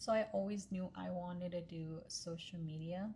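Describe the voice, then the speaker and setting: In an American accent, a woman with a fairly low pitch sounds somewhat breathy, keeping her intonation fairly even at a moderate pace. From Pennsylvania, US, then Texas from age 14. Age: 20s. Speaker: social media content creator. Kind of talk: casual vlog talk to camera.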